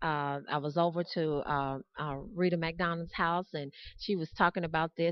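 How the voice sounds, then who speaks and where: A woman with an American accent and a plain, everyday voice talks at a moderate pace in a fairly low pitch. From US South. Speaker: evangelist and podcast host. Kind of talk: interview; ad read. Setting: on location.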